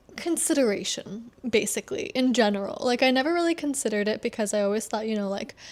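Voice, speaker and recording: In a very clean recording with a silent background, a woman with an ordinary speaking voice talks at a fairly quick pace and a fairly high pitch. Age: 30s. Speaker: lifestyle vlogger. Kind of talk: casual talk to camera. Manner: casual, rambling.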